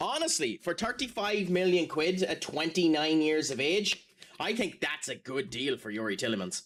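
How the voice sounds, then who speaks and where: In an Irish accent, a man speaks at a high pitch. His pitch swings very widely. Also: moderate pace. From Ireland. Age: 30s. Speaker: gaming streamer. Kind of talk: casual chat. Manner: animated.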